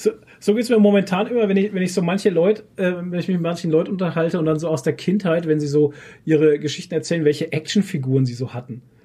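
This man's voice is high in pitch, with a dark, mellow tone. He talks at a very fast pace with ordinary pitch variation. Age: 30s. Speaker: podcast host. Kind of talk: casual chat.

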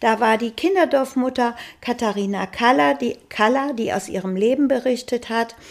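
A woman with a plain, everyday voice, fairly high in pitch, lively in intonation and moderate in pace. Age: 60s. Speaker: grandmother, housekeeping worker. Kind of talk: casual interview chat.

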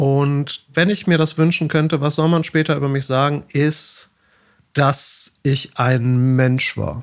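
A man with a fairly high pitch speaks at a very slow pace, his intonation fairly even. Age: 40s. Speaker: organizational psychology professor. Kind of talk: casual interview.

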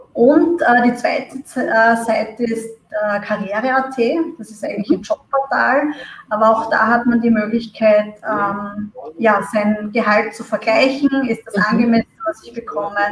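A woman with a fairly high pitch speaks at a fairly slow pace, with ordinary pitch variation. Her loudness swings widely, and noticeable background noise is present. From Austria. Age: 30s. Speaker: marketing manager. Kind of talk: interview. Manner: hesitant, many fillers.

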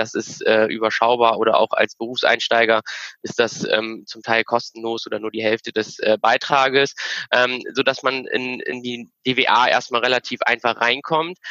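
A man's medium-pitched voice, monotone and flat in intonation, at a moderate pace. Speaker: engineer. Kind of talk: casual chat.

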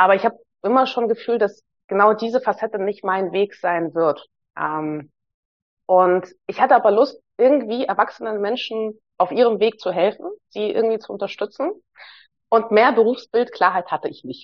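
A woman with a fairly high voice and ordinary pitch variation speaks at a moderate pace. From Hamburg, Germany (born in Moscow, moved at nine). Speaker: psychologist and leadership coach. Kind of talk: casual interview conversation.

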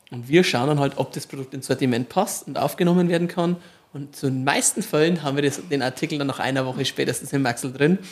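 This man speaks at a very fast pace. His pitch sits fairly high, with ordinary variation. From Marktredwitz area, Upper Franconia. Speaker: supermarket operator. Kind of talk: casual interview.

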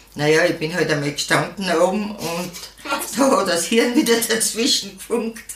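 Very slowly, a woman speaks with lively intonation. Noticeable background noise and audible room echo surround her voice. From Austria, Styria. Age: old. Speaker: senior horse rider and podcaster. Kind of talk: interview. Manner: halting.

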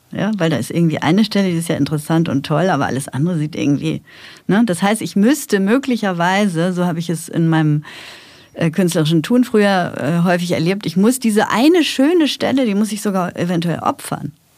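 A woman speaks at a fairly quick pace with a fairly low pitch. Her intonation is lively. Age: 50s. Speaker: funeral director and pastoral carer. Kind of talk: casual chat. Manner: halting.

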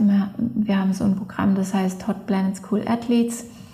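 Here a woman speaks at a fairly slow pace and a medium pitch. There is noticeable background noise behind her. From Allgäu, southern Germany. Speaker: freeskier and filmmaker. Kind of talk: interview. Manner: halting, many fillers.

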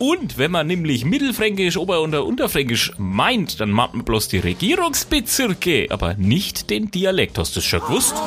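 A man in a Franconian accent speaks with hardly any pauses and very even loudness against noticeable background noise. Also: moderate pace. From Franconia, near Nuremberg. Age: 30s. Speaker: podcast host. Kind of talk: casual monologue.

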